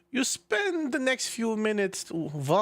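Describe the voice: Simple, plain reading aloud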